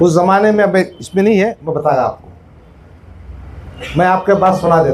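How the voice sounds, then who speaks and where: Long, frequent pauses break up speech with ordinary pitch variation, over noticeable background noise. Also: man, high pitch for a man. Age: 60s. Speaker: politician. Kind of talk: political speech at a meeting.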